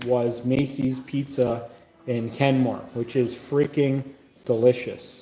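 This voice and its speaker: Speaking at a fairly slow pace, a man keeps a medium pitch and fairly even intonation against noticeable background noise. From Canada, Niagara region. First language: not English. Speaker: food reviewer streamer. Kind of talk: live stream chat. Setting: live stream.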